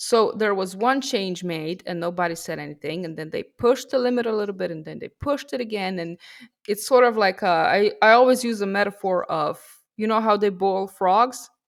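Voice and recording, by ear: On a very clean recording with a silent background, a woman talks at a moderate pace in a medium pitch with ordinary pitch variation.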